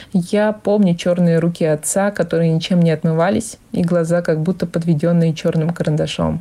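Over noticeable background noise, a woman with a fairly low pitch talks at a moderate pace, with fairly even intonation and hardly any pauses. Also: very even loudness. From Vorkuta, Komi Republic. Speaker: former resident sharing memories. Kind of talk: recorded personal reminiscence.

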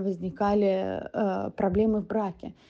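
Against a quiet background, a woman with a dark, mellow tone speaks in a monotone, flat intonation. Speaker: guest, Russian wife of an American. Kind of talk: recorded personal story.

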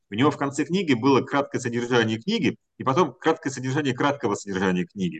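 A man talks at a very fast pace in a medium pitch, his intonation lively. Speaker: company executive. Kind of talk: book club discussion.

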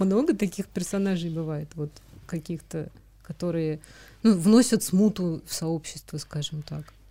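Her fairly low-pitched voice has a dark, mellow tone and ordinary pitch variation. The woman speaks at a fairly slow pace, with big swings in loudness. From Moscow, Russia. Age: 30s. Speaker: podcast host. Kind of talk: casual interview.

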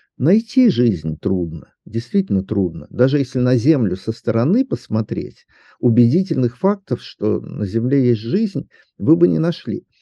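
A medium-pitched male voice with very wide pitch swings, at a fairly slow pace. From Southern Urals, Russia. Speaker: astronomer and science popularizer. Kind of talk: interview.

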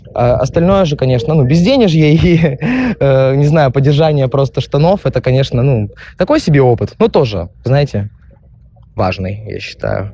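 A man's dark, mellow, somewhat breathy voice at a fairly high pitch, with lively intonation. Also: moderate pace. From Khabarovsk, Russian Far East. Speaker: bartender. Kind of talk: recorded answers to interview questions. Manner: hesitant, filler-heavy.

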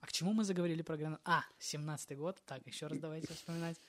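Very fast speech comes from a man. His pitch sits fairly high. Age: 20s. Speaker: rapper. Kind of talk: casual chat. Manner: animated. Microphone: cheap lavalier mic.

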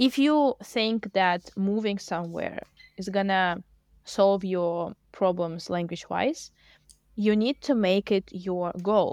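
A woman speaks very slowly with a Russian accent at medium pitch and ordinary pitch variation. The sound is dry and close, with no echo. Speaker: language teacher. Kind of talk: casual chat.

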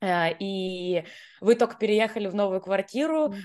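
Set against a quiet background, a woman with a medium pitch and ordinary pitch variation has an unremarkable speaking voice. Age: 30s. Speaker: podcast co-host. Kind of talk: casual chat.

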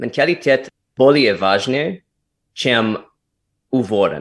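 In an American accent, the speaker goes at a very slow pace on a very clean recording with a silent background. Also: man. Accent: American accent in Russian. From United States. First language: English (speaking Russian). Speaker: former actor, English communication coach. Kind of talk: casual interview. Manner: halting, mixing Russian, Polish and English.

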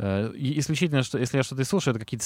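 Ordinary pitch variation from a male speaker, very clean recording and silent background. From Moscow, Russia. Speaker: rock band vocalist. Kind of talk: casual interview. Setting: outdoors in a park.

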